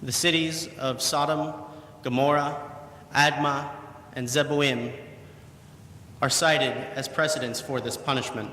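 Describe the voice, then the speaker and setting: A man's fairly high voice, fairly even in intonation and fairly slow, with long, frequent pauses and noticeable background noise. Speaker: preacher giving a sermon. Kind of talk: sermon.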